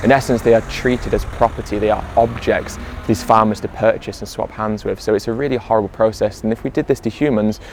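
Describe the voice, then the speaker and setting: A man's medium-pitched voice at a very fast pace with hardly any pauses, fairly even intonation, and music in the background. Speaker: vegan activist. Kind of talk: casual talk to camera, explaining to viewers at the livestock auction.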